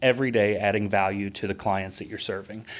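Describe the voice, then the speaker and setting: A man with an ordinary speaking voice, fairly low in pitch, fairly even intonation, on a very clean recording with a silent background. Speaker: marketing company founder and CEO. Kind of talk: casual interview chat.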